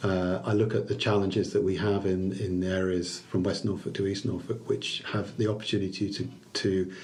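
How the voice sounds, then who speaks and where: A fairly low-pitched man speaks at a moderate pace with hardly any pauses, a somewhat breathy voice, fairly even intonation and very even loudness, with audible room echo. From Liverpool, England. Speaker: chamber of commerce chief executive. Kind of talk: podcast interview. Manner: halting, many repeated words and fillers.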